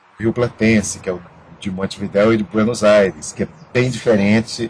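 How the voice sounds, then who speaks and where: Fairly slow delivery in a monotone, flat intonation. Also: man. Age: 60s. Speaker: theatre director and actor. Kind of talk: interview. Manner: halting, many repetitions.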